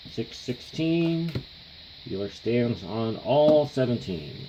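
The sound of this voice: Over faint background noise, a man at a medium pitch talks slowly with big pitch swings and a dark, mellow tone.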